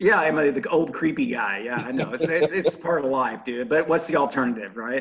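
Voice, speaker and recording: Against noticeable background noise, a man talks at a fairly quick pace with an American accent. His fairly high voice has very wide pitch swings. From US Midwest, Indianapolis. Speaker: rock musician and radio host. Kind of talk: interview. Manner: animated.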